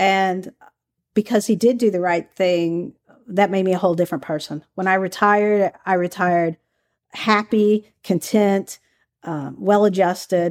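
A woman with a Southern US accent speaks at a medium pitch and a fairly slow pace, with fairly even intonation. The recording is very clean, dry and close, with no echo and a silent background. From Kentucky, US South. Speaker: former undercover FBI agent and author. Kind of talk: interview.

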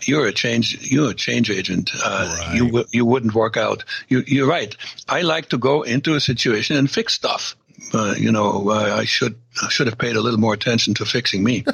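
The speaker, in a German accent, talks at a moderate pace with very even loudness and ordinary pitch variation. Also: man, medium pitch for a man. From East Germany. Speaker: former KGB spy. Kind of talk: casual interview.

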